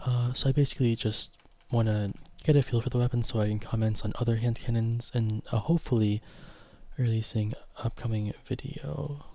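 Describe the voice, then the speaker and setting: A man speaks at a medium pitch in a dark, mellow, somewhat breathy tone. His intonation stays fairly even. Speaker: gaming streamer. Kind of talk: live stream gameplay commentary. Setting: live stream. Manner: fast.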